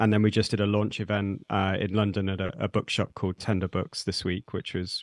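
Speaking fairly quickly with an East Midlands accent, a man uses a very deep, low voice and fairly even intonation, with a dry, close sound with no echo over a quiet background. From Nottingham, England. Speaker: zine publisher and metal musician. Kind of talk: interview.

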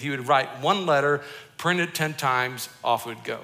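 Here is a man with a plain, everyday voice, pitched fairly high. He keeps a moderate pace and ordinary pitch variation. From Colorado, US. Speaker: pastor. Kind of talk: sermon.

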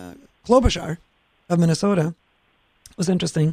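This woman speaks in a Norwegian accent. Her pitch is fairly low. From Norway. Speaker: state senator. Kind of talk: casual political chat. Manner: animated, passionate.

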